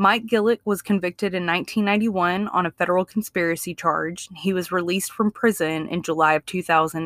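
A medium-pitched woman with a Southern US accent, fairly even intonation and a moderate pace, in a dry, close sound with no echo. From Mississippi. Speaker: true crime podcast co-host. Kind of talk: true crime storytelling.

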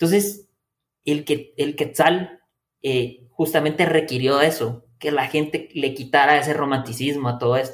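This man has a fairly high pitch and talks at a fairly slow pace with fairly even intonation. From Guatemala, Quetzaltenango. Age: 20s. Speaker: engineer and university professor. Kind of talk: interview. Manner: halting, many repetitions and fillers.

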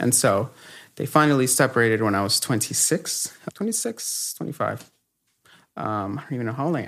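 With a normal speaking voice, a man talks at medium pitch and a fairly quick pace, his intonation lively. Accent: American. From Los Angeles, Echo Park. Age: 30s. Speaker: guest sharing faith testimony. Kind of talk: testimony.

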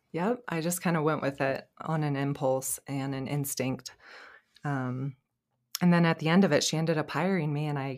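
On a very clean recording with a silent background, a woman with an American accent speaks in a very deep, low pitch with fairly even intonation. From California. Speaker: esthetician and spa owner. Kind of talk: casual interview chat.

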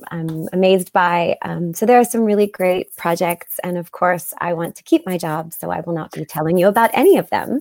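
The sound is dry and close, with no echo. A woman of medium pitch talks at a moderate pace. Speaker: voice actress. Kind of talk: casual interview chat.

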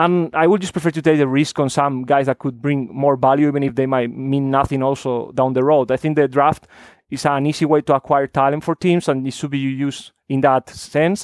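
A man with a Spanish accent talks at a fairly quick pace and fairly high pitch, with fairly even intonation, hardly any pauses, a quiet background and a dry, close sound with no echo. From Spain. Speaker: basketball draft analyst. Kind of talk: casual chat.

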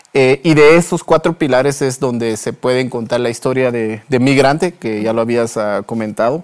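A man's medium-pitched voice at a moderate pace, with hardly any pauses and ordinary pitch variation. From Guatemala, Huehuetenango. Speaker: entrepreneur and author. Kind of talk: interview. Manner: halting.

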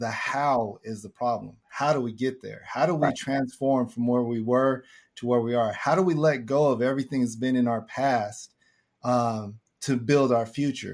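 In an unremarkable speaking voice, a man with an American accent talks at a moderate pace and medium pitch, with fairly even intonation and a quiet background. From Southern California. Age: 50s. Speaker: former prisoner turned prison reform advocate. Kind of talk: testimony.

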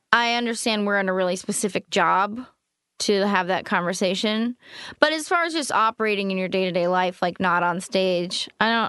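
Over a quiet background, a woman speaks at a moderate speed. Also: medium pitch for a woman, ordinary pitch variation. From US West Coast, East Bay (Oakland, California). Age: 20s. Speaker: stand-up comedian. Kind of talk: casual chat. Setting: studio.

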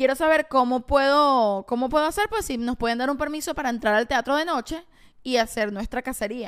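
Fairly quick woman's voice in a Venezuelan accent, high-pitched, with ordinary pitch variation and a very clean recording over a silent background. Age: 20s. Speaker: podcast co-host. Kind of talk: casual chat; reading aloud.

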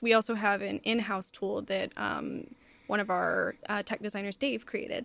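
On a very clean recording with a silent background, a woman speaks at a moderate pace. Her medium-pitched voice carries vocal fry. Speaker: video game writer. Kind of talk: casual interview conversation.

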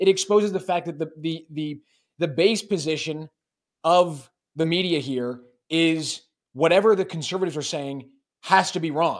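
A man with a Canadian accent speaks at a moderate pace in a high voice with ordinary pitch variation and long, frequent pauses, on a very clean recording with a silent background. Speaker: political commentary show co-host. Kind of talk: casual political chat.

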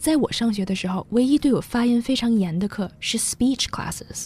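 Somewhat breathy, a woman talks at a fairly quick pace in a dark, mellow tone. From China. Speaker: language teacher. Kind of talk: bilingual English lesson.

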